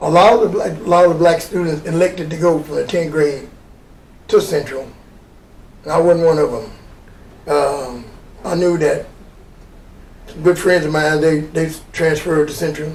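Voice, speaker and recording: Amid noticeable background noise and audible room echo, a man with a fairly high pitch and fairly even intonation talks at a moderate pace, leaving long, frequent pauses. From Arkansas (Little Rock). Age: 70s. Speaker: retired coach and Vietnam veteran. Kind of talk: interview. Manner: halting.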